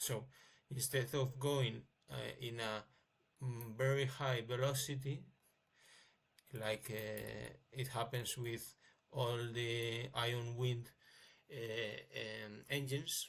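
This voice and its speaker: A man with a non-native accent speaks very slowly in a somewhat breathy, medium-pitched voice, monotone and flat, with long, frequent pauses. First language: not English. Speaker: amateur inventor. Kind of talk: tutorial. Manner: halting, many fillers.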